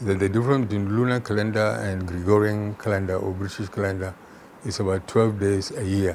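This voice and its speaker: A man with a northern Nigerian accent talks at a fairly quick pace. His pitch is fairly low. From Nigeria, Kano. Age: 80s+. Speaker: retired chemistry professor. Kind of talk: interview.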